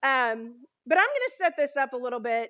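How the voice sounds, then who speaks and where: Loud and high-pitched, a woman's voice comes through. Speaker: children's ministry leader. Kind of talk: sermon. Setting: church. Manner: animated.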